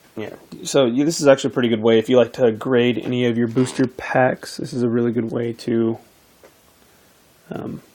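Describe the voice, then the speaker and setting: Speaking at a fairly quick pace yet with long, frequent pauses, a man has a medium pitch, a dark, mellow tone and fairly even intonation. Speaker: pack opening video creator. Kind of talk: casual tutorial-style unboxing talk. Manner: hesitant, filler-heavy.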